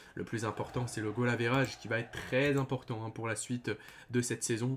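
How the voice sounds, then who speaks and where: The pace of this man's speech is very fast. He speaks at a medium pitch. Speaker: football YouTuber, OM fan. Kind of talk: match review vlog. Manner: hesitant, many fillers; loud.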